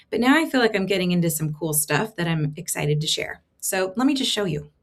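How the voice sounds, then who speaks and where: A somewhat breathy woman speaks very fast, her pitch swinging very widely. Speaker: tech content creator; creator showing her AI experiments. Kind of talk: screen-share tutorial. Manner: casual, filler-heavy. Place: home room. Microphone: webcam.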